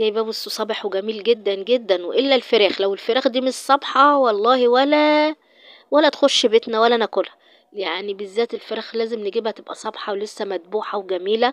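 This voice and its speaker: A woman's fairly high voice in an Egyptian accent, moderate in pace, with ordinary pitch variation and a quiet background. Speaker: vlogger. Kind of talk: casual vlog. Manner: halting.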